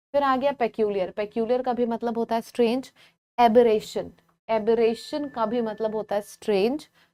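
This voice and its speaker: A soft-spoken woman talks at a moderate pace with a fairly high pitch and a dark, mellow tone. Her intonation is fairly even, and the sound is dry and close with no echo. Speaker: English teacher for exam prep. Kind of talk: live online class.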